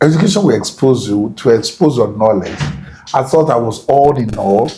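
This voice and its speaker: An ordinary speaking voice from a man at a medium pitch, with lively intonation and a moderate pace. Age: 60s. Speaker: veteran broadcast journalist. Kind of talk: interview.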